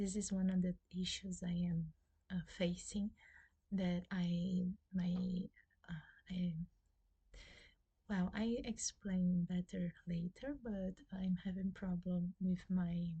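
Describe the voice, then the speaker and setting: The speaker has a Brazilian Portuguese accent and talks at a very slow pace. Long pauses come often. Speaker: booktuber. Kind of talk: casual vlog talk. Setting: at home. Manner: halting, many fillers.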